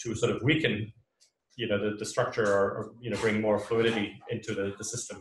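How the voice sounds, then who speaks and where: Somewhat breathy, this man speaks at a medium pitch. His pace is fairly quick. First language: not English. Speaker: author and organizational consultant. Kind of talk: public talk Q&A. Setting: live event with audience. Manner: hesitant, many fillers.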